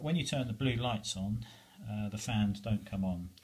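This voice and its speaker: This man has a fairly low pitch and a somewhat breathy voice, and he speaks at a moderate pace. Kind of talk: casual tutorial explanation. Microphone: phone near.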